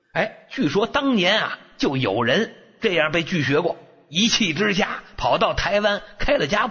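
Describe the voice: Someone plainly reads the text aloud.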